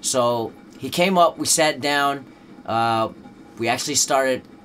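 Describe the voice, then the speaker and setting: Music plays in the background as a man speaks. His pitch is medium, with ordinary variation. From Netherlands. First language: Dutch. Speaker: rapper. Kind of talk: interview. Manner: casual, many fillers.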